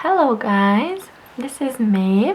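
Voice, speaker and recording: This woman is soft-spoken. Noticeable background noise runs behind her. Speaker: painter. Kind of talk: ASMR painting tutorial.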